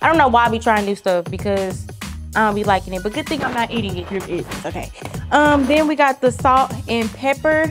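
Music is clearly heard in the background. Over it, a woman talks at a fairly quick pace. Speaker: cooking vlogger. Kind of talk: casual vlog chat. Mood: playful, relaxed. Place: kitchen.

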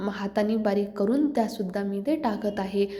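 There's audible room echo and noticeable background noise as a woman talks in a fairly high pitch with ordinary pitch variation. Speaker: cooking vlogger. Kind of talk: cooking tutorial.

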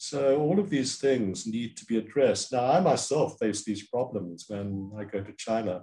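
Over a quiet background, a man with a Cantonese accent talks at a moderate pace in a medium-pitched, dark, mellow voice, using lively intonation and hardly any pauses. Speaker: professor and diplomacy expert; professor. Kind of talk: interview answers, analytical. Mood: thoughtful, animated. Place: home room.

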